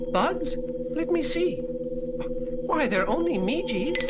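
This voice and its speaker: A put-on character voice at a fairly slow pace, against loud background noise. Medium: audio drama. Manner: effusive, polite.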